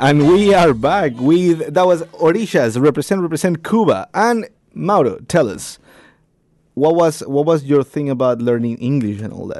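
A man with a Spanish accent and fairly high pitch speaks at a moderate pace, with lively intonation and big swings in loudness. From Ecuador. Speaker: radio host. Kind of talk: casual radio chat. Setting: studio.

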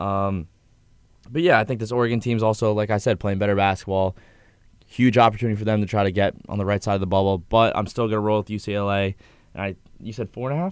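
On a very clean recording with a silent background, a man speaks at a very fast pace with a fairly low pitch and fairly even intonation. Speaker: sports podcast co-host. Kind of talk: casual chat.

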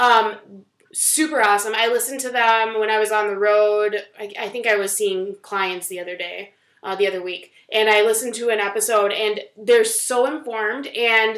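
A woman with an unremarkable speaking voice speaks at a moderate pace and a fairly high pitch. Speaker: podcast co-host. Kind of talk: casual chat.

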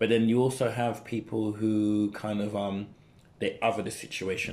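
With a London accent, a man speaks at a fairly low pitch and moderate pace. His intonation stays monotone and flat. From East London (Newham). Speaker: dancer and youth mentor. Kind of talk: casual chat.

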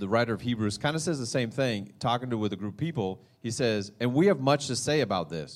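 What you hear is a natural reading voice.

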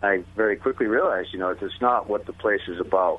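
A man with a plain, everyday voice talks fairly quickly in an American accent, fairly low in pitch with fairly even intonation. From Massachusetts. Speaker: author. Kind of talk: interview.

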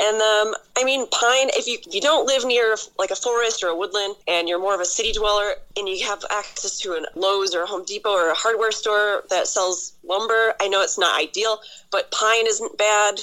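A woman's fairly high, bright, sharp voice at a moderate pace, with ordinary pitch variation. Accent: American. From Buffalo, New York. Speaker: whittler guest. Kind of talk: phone interview.

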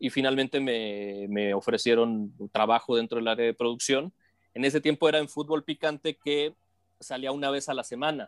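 The recording is very clean, with a silent background. A man talks at a moderate pace in a medium pitch, with ordinary pitch variation. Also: dry, close sound with no echo. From northern Mexico, Matamoros, Tamaulipas. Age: 40s. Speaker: sports broadcaster. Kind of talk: casual interview. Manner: halting, many repetitions.

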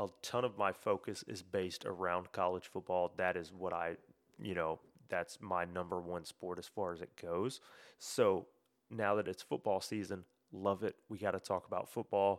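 With a Memphis accent, a man speaks at a moderate pace in a very deep, low pitch and fairly even intonation. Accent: Southern US (Memphis). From US South, Memphis area, Tennessee. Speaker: sports podcast host. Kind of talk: solo podcast monologue. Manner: casual, filler-heavy.

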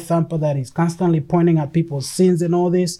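A fairly high-pitched man with a non-native accent and a dark, mellow tone, in a very clean recording with a silent background. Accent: noticeable non-native. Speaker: ministry podcaster, preacher. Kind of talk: religious podcast teaching. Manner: repetitive filler words, stammering.

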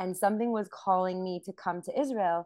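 Pitch shifts in an ordinary way here. It is a plain, everyday voice. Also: woman. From Montreal, Canada. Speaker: singer and actress. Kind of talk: casual interview. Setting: video call.

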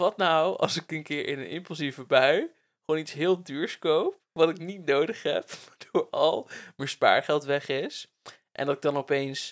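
Fairly slow and fairly even in intonation, a man talks in an ordinary speaking voice with a fairly high pitch, recorded dry and close with no echo. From Netherlands, Bible Belt village (Werkendam). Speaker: podcast host. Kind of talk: casual chat. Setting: on a couch at home.

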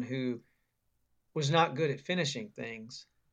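Over a quiet background, a man at a medium pitch talks at a moderate pace. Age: 30s. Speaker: author. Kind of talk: casual interview. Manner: halting, many fillers.

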